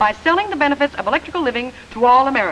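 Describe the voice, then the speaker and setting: With music in the background, a woman speaks at a fairly quick pace in a high pitch. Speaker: singer and TV personality. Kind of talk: scripted comedic dialogue.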